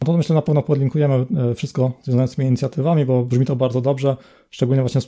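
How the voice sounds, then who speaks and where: On a very clean recording with a silent background, a man with a fairly high pitch and a dark, mellow tone speaks at a very fast pace with fairly even intonation. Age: 20s. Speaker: podcast host. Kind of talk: interview.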